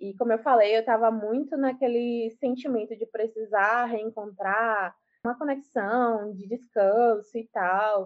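A woman's normal speaking voice, fairly high in pitch, with fairly even intonation, a fairly slow pace, hardly any pauses and big swings in loudness. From Brazil, Salvador, Bahia. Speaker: law student and activist. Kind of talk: casual interview.

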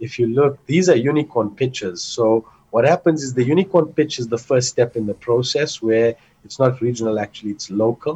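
A somewhat breathy man at medium pitch, with ordinary pitch variation and a moderate pace. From South Africa (Johannesburg). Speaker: entrepreneur and investor. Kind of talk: casual interview.

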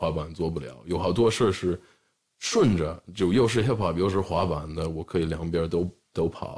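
A very deep, low-pitched man's voice with an American accent and ordinary pitch variation. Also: moderate pace. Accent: American-accented Mandarin. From US, Los Angeles area (Southern California). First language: English (speaking Chinese). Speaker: rapper and skateboard brand co-founder. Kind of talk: casual chat.

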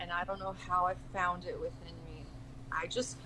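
A woman talks at a fairly slow pace. Noticeable background noise can be heard. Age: 30s. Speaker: spiritual artist and astral traveler. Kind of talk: casual chat.

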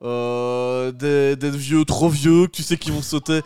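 A man with a fairly high pitch is heard in a dry, close sound with no echo, with noticeable background noise. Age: 30s. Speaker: podcast host. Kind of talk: casual chat. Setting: at home, doors open.

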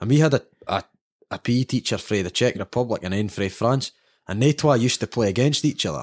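Talking at a very fast pace, a man with a Scottish accent shows ordinary pitch variation. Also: medium pitch for a man. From Scotland. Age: 30s. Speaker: football fan sharing life story. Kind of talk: casual interview chat.

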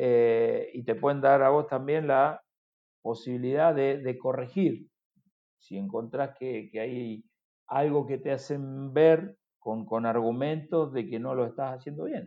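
A man talks at a very slow pace, with a medium pitch and ordinary pitch variation. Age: 50s. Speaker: football sporting director and former player. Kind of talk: interview conversation. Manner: halting, many repeated words.

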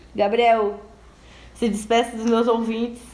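Audible room echo around a woman's fairly high voice. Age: 20s. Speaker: podcast host. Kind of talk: casual chat. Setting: at home.

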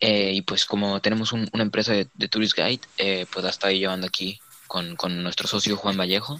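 A man with a plain, everyday voice speaks at a fairly quick pace, fairly low in pitch and fairly even in intonation, in a dry, close sound with no echo. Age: 20s. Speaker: student. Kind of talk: casual chat. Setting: video call.

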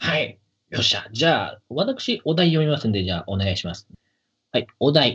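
A man at a moderate pace. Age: 30s. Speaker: podcast host. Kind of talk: casual chat.

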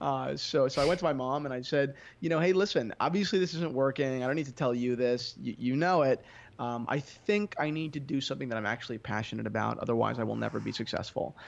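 Over a quiet background, a man with an American accent speaks very fast at medium pitch with ordinary pitch variation. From US Northeast, New Jersey. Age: 20s. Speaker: entrepreneur, watch dealer. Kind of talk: interview. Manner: halting, many repetitions and fillers.

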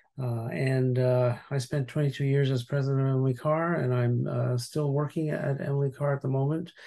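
A man with a Canadian accent speaks at a moderate pace in a medium pitch, his dark, mellow tone somewhat breathy and his intonation fairly even. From Montreal, Canada. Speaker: university president and author. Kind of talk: interview. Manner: halting.

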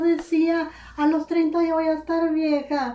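Woman's voice with a high pitch. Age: 50s. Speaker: retired literature teacher. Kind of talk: casual chat.

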